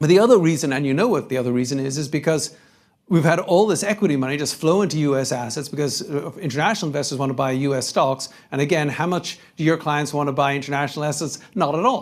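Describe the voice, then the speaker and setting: A man's fairly high-pitched voice with a European accent at a very fast pace. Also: ordinary pitch variation. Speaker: investment strategist. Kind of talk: conference panel talk with Q&A.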